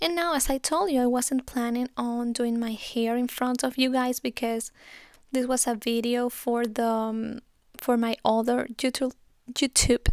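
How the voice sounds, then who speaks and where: A woman with a Spanish accent speaks at a high pitch and a fairly slow pace, in a dry, close sound with no echo on a very clean recording with a silent background. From Spain. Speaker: beauty YouTuber. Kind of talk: makeup tutorial. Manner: casual, chatty.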